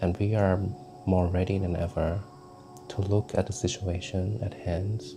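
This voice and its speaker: With music in the background, a man speaks at a very deep, low pitch in a calm tone with fairly even intonation. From Thailand. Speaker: tarot reader and vlogger. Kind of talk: guided meditation. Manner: calm, slow.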